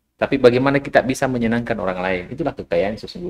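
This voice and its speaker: At a fairly quick pace, a man speaks with medium pitch and an ordinary speaking voice. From South Sulawesi, Indonesia (Bulukumba). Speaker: business founder. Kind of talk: podcast interview.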